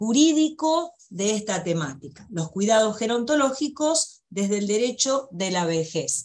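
A woman at a very slow pace and fairly high pitch, with very wide pitch swings over a quiet background. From Argentina. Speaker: law professor. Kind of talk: lecture. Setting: video call. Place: home room. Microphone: video call.

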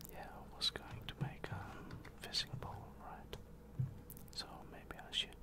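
Loud background noise sits under a man speaking at a very slow pace. He leaves long, frequent pauses. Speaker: gamer. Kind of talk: ASMR gaming commentary, whispered while playing a video game. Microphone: studio mic.

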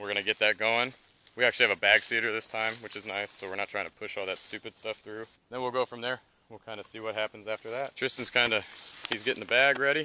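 Very fast, fairly even speech with a dry sound, no echo and light background noise. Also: man. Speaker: hunting vlogger. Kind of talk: casual vlog chat. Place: open country. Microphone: phone near.

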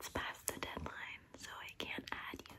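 A woman whispers, soft-spoken, at a very slow pace. Noticeable background noise can be heard. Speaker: content creator. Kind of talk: casual vlog chat. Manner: soft close-up ASMR whisper. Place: home room.

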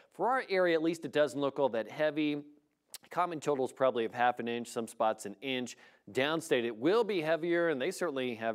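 With lively intonation and a fairly quick pace, a man speaks over a quiet background. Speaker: TV meteorologist. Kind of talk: weather report. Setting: TV studio. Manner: brisk, clear and conversational, like a TV weather broadcast. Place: studio.

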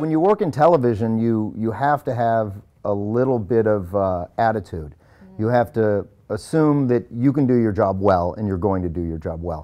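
In a normal speaking voice, a man talks at a moderate pace and a fairly low pitch with lively intonation. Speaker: actor. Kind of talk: interview answer.

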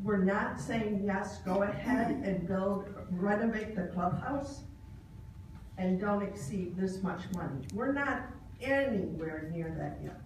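A woman speaks slowly at medium pitch with ordinary pitch variation, and audible room echo surrounds her.

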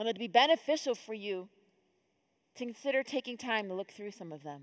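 Against a quiet background, a woman speaks at a fairly quick pace. Her intonation is lively. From upstate New York (Rochester). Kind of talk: conference talk. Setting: stage with audience. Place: church. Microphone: headset.

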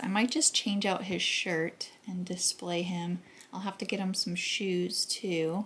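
Somewhat breathy speech at a moderate pace. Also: woman. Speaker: thrift haul vlogger. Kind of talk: casual vlog chat. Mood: pleased, enthusiastic. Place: kitchen. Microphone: camera far.

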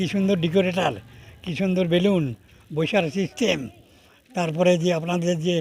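This man has a high pitch. His intonation stays fairly even. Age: 80s. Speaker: voter. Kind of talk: street interview.

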